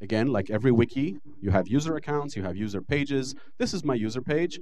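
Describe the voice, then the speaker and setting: A man with an Israeli accent speaks in very wide pitch swings, with audible room echo around him. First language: Hebrew. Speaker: lecturer. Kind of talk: lecture.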